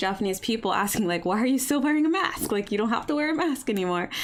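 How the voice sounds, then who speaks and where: Against noticeable background noise, a woman with an American accent speaks at a fairly high pitch with lively intonation. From US, Baltimore area. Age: 30s. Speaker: YouTuber. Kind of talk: live stream Q&A chat. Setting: live stream. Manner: casual, rambling.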